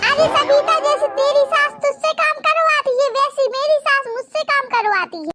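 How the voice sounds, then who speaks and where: A squeaky, cartoonish character voice from a woman, extremely high in pitch, at a moderate pace with hardly any pauses, in a dry, close sound with no echo. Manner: gossipy, mock-sympathetic.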